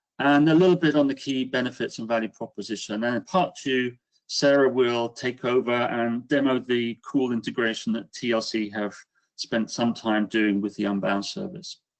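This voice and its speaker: The speaker is a man with a British accent. He uses a medium pitch with ordinary variation at a moderate pace. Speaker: business executive. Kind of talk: webinar presentation. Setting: online webinar.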